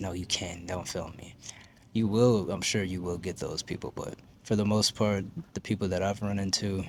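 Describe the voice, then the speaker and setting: A man speaks quietly at a fairly low pitch. His pace is fairly quick. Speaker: lifestyle vlogger. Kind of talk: casual vlog talk to camera. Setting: public library.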